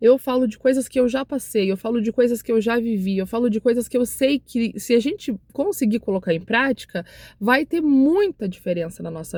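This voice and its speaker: Her voice is somewhat breathy, a woman's at a fairly high pitch. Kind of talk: devotional talk to camera. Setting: recording to camera. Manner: emotional; repetitive exhortation.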